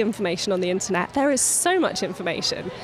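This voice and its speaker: A woman talks at a fairly quick pace with lively intonation. Noticeable background noise runs underneath. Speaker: speech therapy AAC specialist. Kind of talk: interview explaining a framework.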